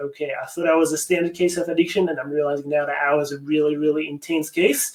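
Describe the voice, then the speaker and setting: Over noticeable background noise, a man talks at a very fast pace with a fairly high pitch. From France, near Paris. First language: French. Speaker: addiction recovery coach. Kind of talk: webinar presentation. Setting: online webinar. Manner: animated.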